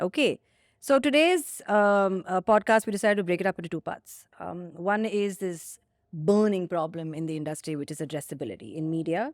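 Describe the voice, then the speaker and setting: At a fairly quick pace, a woman with an Indian accent speaks in a medium pitch with ordinary pitch variation. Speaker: company founder and CEO, podcast co-host. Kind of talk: casual podcast conversation. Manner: enunciates carefully.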